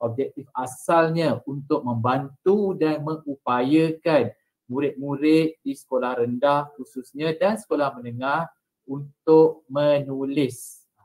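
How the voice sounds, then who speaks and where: Against a quiet background, a man with a fairly high pitch talks at a very slow pace with ordinary pitch variation. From Malaysia. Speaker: teacher and state trainer. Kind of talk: presentation. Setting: video call. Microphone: video call.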